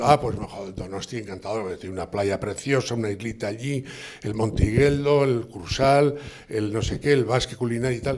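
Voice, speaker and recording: The man's intonation is lively, and noticeable background noise fills the recording. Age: 70s. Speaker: gastronomic society representative. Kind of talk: speech at commemorative event. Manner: halting, many fillers and repetitions.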